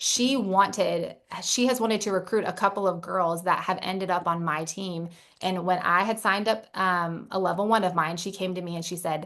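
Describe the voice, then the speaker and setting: A woman speaks at a moderate pace with fairly even intonation in a normal speaking voice. The background is quiet. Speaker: network marketing team leader. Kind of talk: motivational talk.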